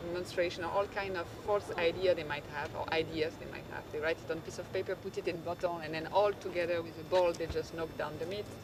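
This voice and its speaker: A fairly quick pace in a French accent, over noticeable background noise. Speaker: NGO panelist presenting a school program. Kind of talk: panel presentation. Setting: conference stage with audience. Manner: halting, with frequent fillers and restarts.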